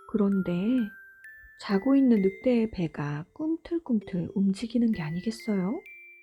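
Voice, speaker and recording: Over background music, a woman talks at a fairly slow pace in a medium pitch with lively intonation, the sound dry and close with no echo. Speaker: mother and storybook narrator. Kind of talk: gentle storytelling narration. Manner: whispered, soft-spoken.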